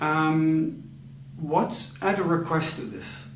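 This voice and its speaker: Room echo is audible and background noise is noticeable. Through it comes a man's fairly high voice. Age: 40s. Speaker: communication coach. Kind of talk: coaching demonstration. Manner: slow; calm.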